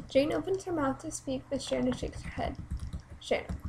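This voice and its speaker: A woman talks at a fairly quick pace. There is light background noise. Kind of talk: reading own play script aloud. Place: home room. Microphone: webcam.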